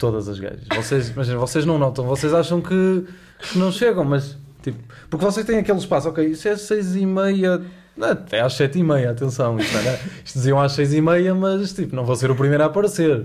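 Against noticeable background noise, a man with a fairly high pitch talks at a fairly quick pace with lively intonation. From Porto, northern Portugal. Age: 20s. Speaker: university student and podcast co-host. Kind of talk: casual chat.

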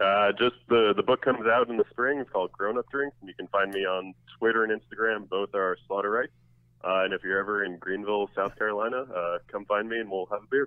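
A man talks very fast at a fairly low pitch with fairly even intonation. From New Jersey. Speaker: drinks writer and author. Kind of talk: interview. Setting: phone call.

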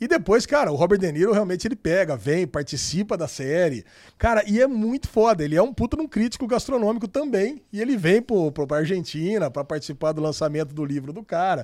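Talking at a very fast pace with hardly any pauses, a man uses a high pitch and very wide pitch swings. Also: very clean recording, silent background. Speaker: podcast host. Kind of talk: casual chat.

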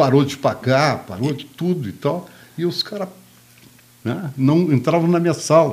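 A man's fairly high voice with vocal fry and long, frequent pauses. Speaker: media sales executive. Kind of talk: casual chat.

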